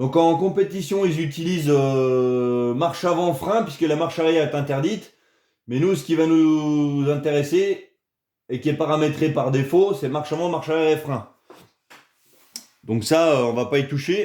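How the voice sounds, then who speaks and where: A man with a dark, mellow tone speaks at a fairly high pitch with ordinary pitch variation. His pace is moderate, with long, frequent pauses. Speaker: RC hobby youtuber. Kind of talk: tutorial. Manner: casual, hesitant with many euh.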